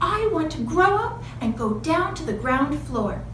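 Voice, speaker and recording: Using a put-on character voice, a woman speaks at a moderate pace with a slight echo and clear background noise. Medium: read story.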